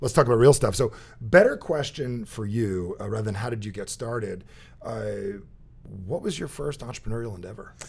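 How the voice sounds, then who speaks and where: A somewhat breathy man with an American accent and medium pitch talks at a fairly quick pace, his pitch varying normally, with long, frequent pauses and big swings in loudness. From New Jersey. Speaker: podcast host and speaker. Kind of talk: casual interview chat; show introduction. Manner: fast; animated.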